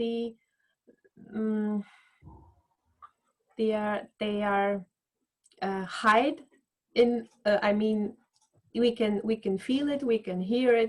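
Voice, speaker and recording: A woman's fairly high voice with a non-native accent on a very clean recording against a silent background. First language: not English. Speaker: voice coach. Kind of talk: casual chat. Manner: halting.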